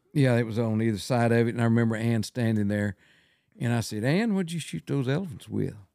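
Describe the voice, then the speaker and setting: Talking at a very fast pace with a West Texas accent, a man uses lively intonation and a dark, mellow tone at medium pitch. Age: 70s. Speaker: wildlife photographer. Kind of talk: casual chat.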